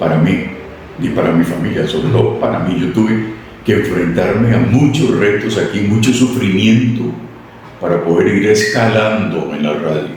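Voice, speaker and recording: Amid noticeable background noise and audible room echo, a man with a fairly low pitch talks at a moderate pace with lively intonation. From Costa Rica, San Isidro (rural). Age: 70s. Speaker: radio announcer and newsreader. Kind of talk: interview. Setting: radio station premises.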